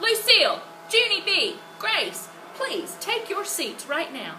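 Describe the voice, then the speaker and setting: Over clear background noise, a woman uses a put-on character voice at an extremely high pitch, raised and projected, at a fairly slow pace. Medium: read story.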